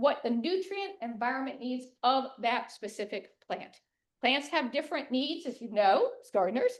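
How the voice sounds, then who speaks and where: Here a woman speaks at a high pitch. Her intonation is lively. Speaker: master gardener giving a talk. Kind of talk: lecture. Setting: room with live audience and Zoom. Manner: fast.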